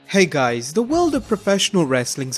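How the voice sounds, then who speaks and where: A man speaking with music in the background. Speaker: wrestling history narrator. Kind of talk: list video narration.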